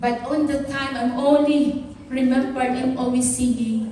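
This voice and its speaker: Amid noticeable background noise and audible room echo, a woman with a Filipino accent speaks loudly in a high voice at a fairly slow pace. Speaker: pastor. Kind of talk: sermon.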